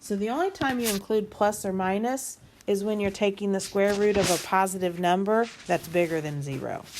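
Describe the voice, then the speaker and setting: At a moderate pace, a woman with a normal speaking voice talks at a medium pitch, her intonation lively. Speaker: math teacher. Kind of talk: tutorial.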